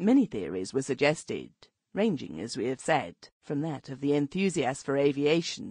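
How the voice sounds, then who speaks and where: Vocal fry and very wide pitch swings in a dry, close sound with no echo against a quiet background. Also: woman. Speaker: audiobook narrator. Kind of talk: audiobook narration, reading aloud a formal early twentieth-century prose text. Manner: formal, measured literary delivery; steady, storyteller pacing with long flowing sentences.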